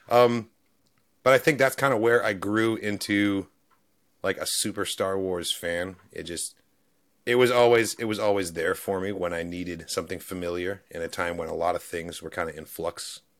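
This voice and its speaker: Here is a man with an ordinary speaking voice, fairly low in pitch with ordinary pitch variation. He keeps a moderate pace on a very clean recording with a silent background. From New Zealand, moved to US in 2001 as a child. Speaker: YouTube reaction creator. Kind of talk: casual interview.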